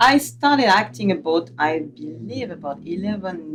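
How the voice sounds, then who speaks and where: A woman with a French accent and a fairly low pitch swings very widely in pitch over noticeable background noise. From southern France. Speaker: actress. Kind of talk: casual chat. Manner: halting.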